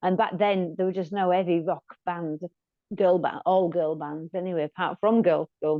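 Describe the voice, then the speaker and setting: With a Yorkshire accent, a woman speaks at a moderate pace in a fairly low pitch, her intonation fairly even. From Yorkshire, northern England. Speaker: rock musician. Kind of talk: interview.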